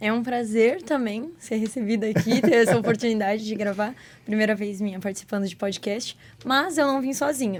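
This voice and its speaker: Noticeable background noise accompanies a woman whose fairly high voice moves at a moderate pace with ordinary pitch variation. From Santa Catarina, southern Brazil (Blumenau). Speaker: youth mission volunteer. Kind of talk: casual podcast chat.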